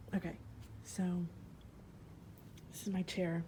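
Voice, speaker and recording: Quiet and heard with audible room echo, a woman with a fairly low pitch speaks at a moderate pace. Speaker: student teacher vlogger. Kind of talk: casual vlog tour. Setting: classroom. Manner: quiet, hushed.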